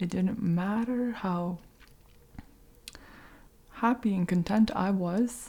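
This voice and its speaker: Somewhat breathy, this woman's voice has a gentle tone that is dark and mellow. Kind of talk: ASMR soft-spoken update to camera. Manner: soft-spoken, gentle, whispery.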